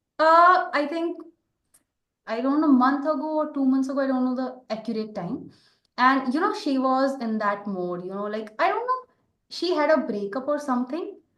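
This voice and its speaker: There is audible room echo around a woman speaking in a high-pitched voice. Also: lively intonation, moderate pace. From India. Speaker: podcast host. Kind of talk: casual interview chat.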